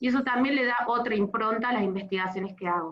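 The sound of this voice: A woman talks at a fast pace. Her pitch is fairly high, with ordinary pitch variation.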